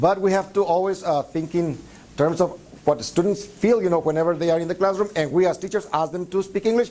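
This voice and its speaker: A high-voiced man with a Spanish accent, fairly quick and with ordinary pitch variation. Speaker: English teacher trainer. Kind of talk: lecture. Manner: halting, many fillers.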